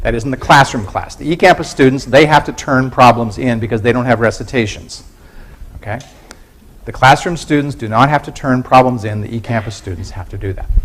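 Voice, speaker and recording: A man with a medium-pitched voice talks at a fairly quick pace, his loudness swinging widely over noticeable background noise. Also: ordinary pitch variation. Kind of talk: lecture. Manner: fast.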